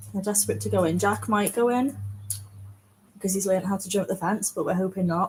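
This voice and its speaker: A woman's somewhat breathy, medium-pitched voice at a very fast pace, with fairly even intonation and long, frequent pauses. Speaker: dog owner vlogger. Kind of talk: casual live-stream chat. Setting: outdoors in the yard by a pool, in the rain. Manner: telephone voice. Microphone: laptop mic.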